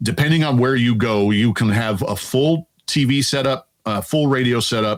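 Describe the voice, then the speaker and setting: A man with an American accent, lively intonation and a moderate pace, on a very clean recording with a silent background. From Louisiana, US South. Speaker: air force veteran. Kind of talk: interview. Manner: articulate, broadcaster-trained.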